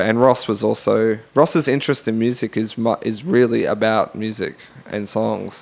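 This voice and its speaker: A man with an Australian accent at a moderate pace. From Australia, Brisbane. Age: 30s. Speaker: musician and academic. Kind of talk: interview. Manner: halting.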